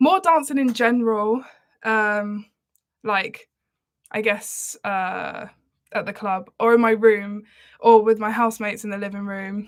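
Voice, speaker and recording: A woman's fairly high, relaxed voice in an Essex accent, at a fairly slow pace with long, frequent pauses, fairly even intonation and big swings in loudness, on a very clean recording with a silent background. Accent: southern English (Essex). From Essex, England. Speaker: singer. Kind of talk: casual livestream chat. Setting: live stream. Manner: relaxed, chatty with fillers.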